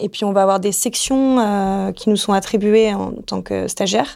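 In a very clean recording with a silent background, a woman speaks fairly slowly in a plain, everyday voice of medium pitch, with ordinary pitch variation. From Marseille, southern France. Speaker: finance manager. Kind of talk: interview.

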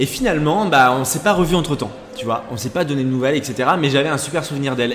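Noticeable background noise sits under the audio. A man talks at a fairly quick pace. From western France, Charente-Maritime. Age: 30s. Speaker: TV casting director. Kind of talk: casual chat.

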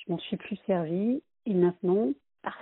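The woman speaks at a fairly slow pace. Her pitch is medium. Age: 40s. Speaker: job seeker giving testimony. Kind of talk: recorded testimony.

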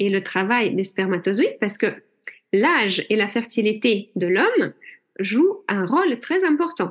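At a fairly slow pace, a woman with a non-native accent speaks at a fairly high pitch. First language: not French (speaking French). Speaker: general practitioner and hypnotherapist. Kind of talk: interview.

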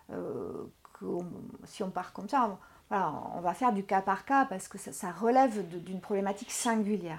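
A woman at a medium pitch and moderate pace, with ordinary pitch variation and long, frequent pauses. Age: 40s. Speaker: sports psychologist. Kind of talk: interview. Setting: recording on location.

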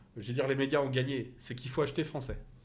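The delivery is very fast and somewhat breathy. Audible room echo is present. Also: man. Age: 50s. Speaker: company CEO. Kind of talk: interview conversation. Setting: in person at the company site. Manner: halting, many repetitions and fillers.

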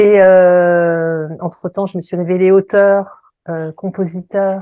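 The delivery is very slow, with a monotone, flat intonation. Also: woman. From Paris region, France. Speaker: voice coach and singer. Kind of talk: interview.

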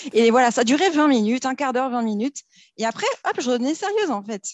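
A woman with a high voice speaks fairly quickly in an animated tone with lively intonation, broken by long, frequent pauses. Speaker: business owner in debt collection. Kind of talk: casual interview chat. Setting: studio, recorded in person. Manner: animated, laughing often.

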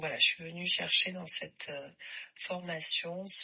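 A woman speaks at a fairly slow pace. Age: 40s. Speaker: yoga teacher. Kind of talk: recorded voice message testimony.

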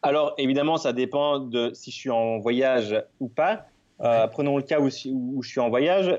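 Fairly slow speech from a man at medium pitch, with ordinary pitch variation. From Belgium. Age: 30s. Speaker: travel photographer and Instagrammer. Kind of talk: interview.

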